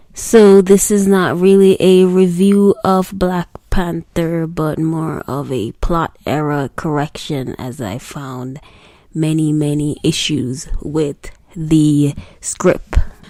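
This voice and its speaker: With a Jamaican accent, a woman speaks at a very slow pace in a very deep, low pitch, with a dark, mellow tone, ordinary pitch variation and big swings in loudness. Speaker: singer. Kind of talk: read commentary / film critique.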